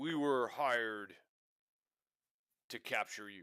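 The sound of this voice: Putting on a gruff character voice, a man talks at a fairly slow pace with medium pitch and ordinary pitch variation.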